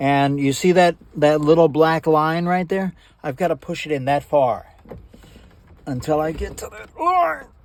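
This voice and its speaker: A man with a fairly high pitch, a fairly slow pace and big swings in loudness. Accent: American. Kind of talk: casual how-to tutorial. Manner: animated.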